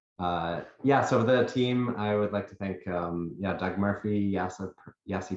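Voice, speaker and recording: A fairly slow pace from a man. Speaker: researcher. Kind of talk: webinar presentation. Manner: monotone.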